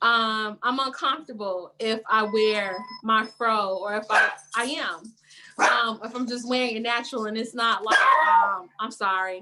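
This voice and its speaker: Speaking at a fairly slow pace with a Chicago accent, a woman keeps a fairly high pitch and fairly even intonation. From Chicago west side. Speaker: panel guest. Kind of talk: casual panel chat. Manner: halting, many ums.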